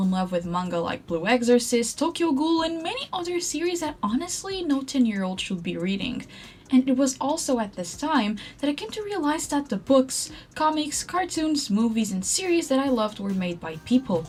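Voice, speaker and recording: A woman talks fairly quickly in a high pitch with very wide pitch swings. There is noticeable background noise. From Portugal. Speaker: artist and content creator. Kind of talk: scripted narration.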